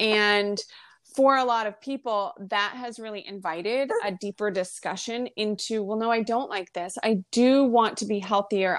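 In a very clean recording with a silent background, a woman with an unremarkable speaking voice speaks at a moderate pace, fairly high in pitch with fairly even intonation. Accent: American. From US Northeast, rural Maine. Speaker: holistic health practitioner and intuitive. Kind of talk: casual interview.

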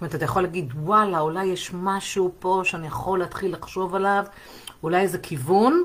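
Fairly low in pitch, a woman talks at a fairly quick pace in an ordinary speaking voice. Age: 40s. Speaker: sex therapist. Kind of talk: live stream monologue.

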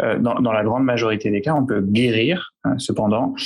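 A man at a moderate pace. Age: 20s. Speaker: psychiatrist. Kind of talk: panel discussion. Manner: halting.

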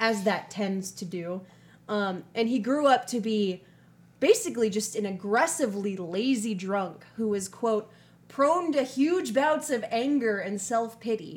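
In an American accent, a woman with a plain, everyday voice speaks at a fairly slow pace, her fairly high pitch carrying lively intonation. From US Midwest. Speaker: true crime podcast host. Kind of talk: casual chat with storytelling narration.

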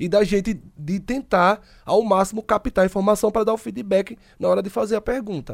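The dry, close sound with no echo carries a man's high-pitched voice, moving at a moderate pace with ordinary pitch variation. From Sergipe, Brazil. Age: 30s. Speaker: podcast host. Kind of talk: casual chat.

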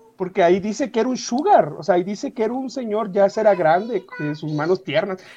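Over noticeable background noise, a man with a high voice talks at a fairly quick pace with lively intonation and hardly any pauses. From Mexico, Querétaro. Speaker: podcaster, guest. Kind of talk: casual chat.

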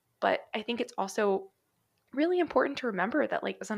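A woman with an American accent speaks at a fairly quick pace and a fairly high pitch. Her intonation is lively, with vocal fry. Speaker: podcast host, dietitian. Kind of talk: casual chat, podcast crossover conversation. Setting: remote recording.

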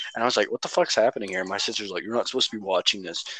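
Recorded dry and close with no echo over noticeable background noise, a man speaks at a medium pitch with ordinary pitch variation. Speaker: podcast co-host. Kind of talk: casual banter. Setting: phone call.

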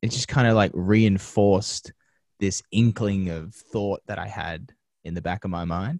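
Recorded very cleanly against a silent background, a man with an Australian accent speaks at a fairly low pitch with ordinary pitch variation, the sound dry and close with no echo. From Australia, western Sydney (Penrith). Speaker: TV presenter and media producer. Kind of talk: interview. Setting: podcast interview.

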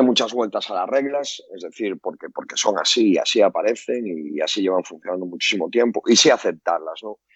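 A man with a Galician accent at a moderate pace. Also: big swings in loudness. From Galicia, Spain. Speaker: basketball coach. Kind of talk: casual chat.

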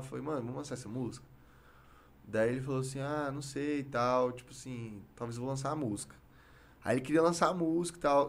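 A man talks at a very fast pace with a medium pitch. Audible room echo surrounds his voice. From Brazil, Goiás (Goiânia and Palmeiras de Goiás). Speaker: rapper. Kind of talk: casual interview chat. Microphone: too far from the mic at times.

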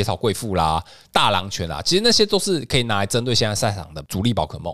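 A man talks at a very fast pace at a medium pitch. His tone is bright and sharp, with very wide pitch swings. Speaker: podcast co-host discussing trading card game strategy. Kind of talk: casual chat.

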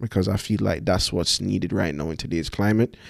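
A man's very deep, low voice on a very clean recording with a silent background. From Jamaica, Kingston. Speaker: podcast host. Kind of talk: solo monologue, casual. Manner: hesitant, many fillers.

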